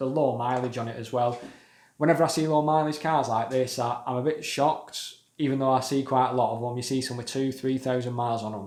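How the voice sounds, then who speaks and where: Audible room echo surrounds a voice with a British accent. The pace is fairly quick and the intonation fairly even. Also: man. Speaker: car enthusiast YouTuber. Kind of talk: casual video commentary. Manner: monotone.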